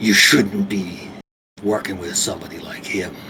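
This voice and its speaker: A man growls through a put-on character voice, pitched fairly low. His intonation stays fairly even at a moderate pace. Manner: menacing, scolding.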